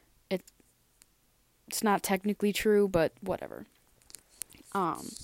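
A woman speaks at a medium pitch and a fairly slow pace. Her intonation is monotone and flat, and the sound is dry and close with no echo. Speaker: podcaster. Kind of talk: casual monologue. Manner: casual, filler-heavy.

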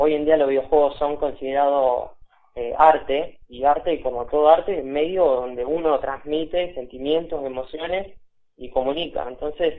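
Here is a man with a normal speaking voice, pitched fairly high. He talks at a moderate pace with fairly even intonation. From Buenos Aires, Argentina. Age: 20s. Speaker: video game developer. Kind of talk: interview. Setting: phone call.

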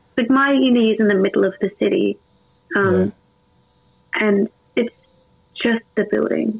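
A woman at a moderate pace, her loudness very even, with long, frequent pauses. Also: medium pitch for a woman, ordinary pitch variation. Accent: Australian. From Adelaide, South Australia. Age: 20s. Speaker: Twitch streamer. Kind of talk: casual interview chat. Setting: video call.

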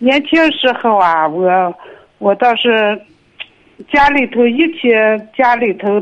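A woman speaks at a very slow pace with lively intonation. Her pitch is fairly high and her loudness very even. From Inner Mongolia, Linhe. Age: 60s. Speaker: caller. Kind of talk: phone call-in. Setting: phone call. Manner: halting.

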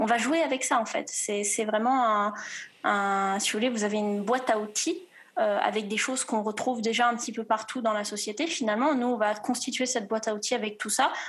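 At a fairly quick pace, a woman speaks somewhat breathily with a fairly high pitch and ordinary pitch variation. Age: 20s. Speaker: student. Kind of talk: testimony. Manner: halting.

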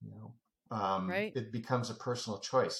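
A man with a medium-pitched, somewhat breathy voice talks at a moderate pace. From Canada. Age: 70s. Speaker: public safety consultant, retired police officer. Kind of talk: interview, conversational storytelling.

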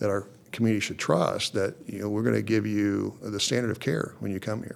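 In a very clean recording with a silent background, a man with an American accent speaks at a fairly low pitch with fairly even intonation and a plain, everyday voice. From Oklahoma. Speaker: judge. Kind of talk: interview. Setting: judge's chambers in courthouse.

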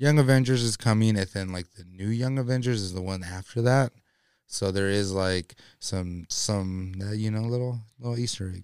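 A man with a fairly low pitch talks at a moderate pace in a plain, everyday voice, his intonation fairly even. The recording is very clean, with a silent background. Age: 30s. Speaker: podcast co-host. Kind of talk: quiz reading; casual chat.

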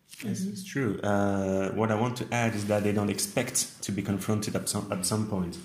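A man with a French accent, fairly low pitch, fairly even intonation and a fairly quick pace with hardly any pauses, amid noticeable background noise and audible room echo. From France, Nancy. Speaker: English teacher. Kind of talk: casual interview.

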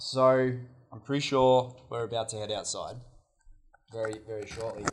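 Somewhat breathy, a man speaks in a monotone, flat way at a medium pitch. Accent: Australian. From Australia. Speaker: outdoor educator. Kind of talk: workshop instruction. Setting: meeting hall with microphone.

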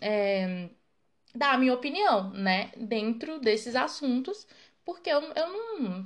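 In a high voice, a woman speaks at a very slow pace with very wide pitch swings. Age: 20s. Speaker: podcast host. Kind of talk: casual solo monologue. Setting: home recording at night.

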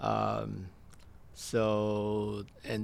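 A man's fairly low voice with a Canadian accent, with audible room echo. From Stratford, Ontario, Canada. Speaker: restaurant owner. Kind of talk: interview. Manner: halting.

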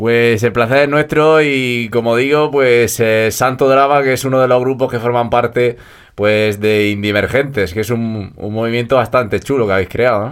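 A man with an unremarkable speaking voice talks at medium pitch and a moderate pace. His intonation is fairly even, with hardly any pauses. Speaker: radio host. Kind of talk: radio interview.

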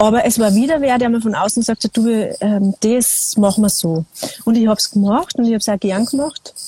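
A woman with a fairly high pitch and an ordinary speaking voice talks at a fairly quick pace, her loudness very even and her pitch variation ordinary. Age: 40s. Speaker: singer-songwriter. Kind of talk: casual conversation. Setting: video call from a small balcony.

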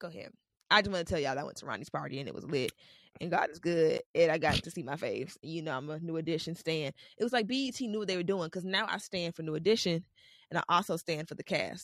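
Speaking very fast with an American accent, a woman has a fairly low pitch, ordinary pitch variation and an animated tone. The sound is dry and close, with no echo. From Bahamian family, US. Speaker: podcast co-host. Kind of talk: casual chat.

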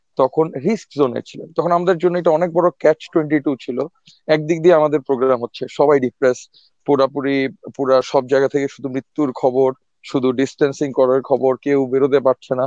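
A plain, everyday voice from a man, fairly high in pitch with fairly even intonation, in a dry, close sound with no echo. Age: 30s. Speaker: epidemiologist and association volunteer. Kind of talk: casual interview.

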